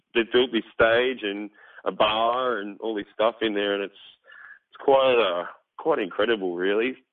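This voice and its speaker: A man's medium-pitched voice at a moderate pace, fairly even in intonation, with big swings in loudness. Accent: Australian. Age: 30s. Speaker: metal band vocalist. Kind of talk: casual interview.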